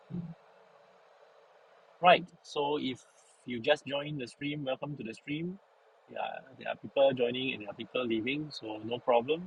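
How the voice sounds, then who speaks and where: A soft-spoken man at a fairly high pitch, with long, frequent pauses. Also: ordinary pitch variation, moderate pace, big swings in loudness. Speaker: live streamer. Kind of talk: casual chat. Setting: in a car.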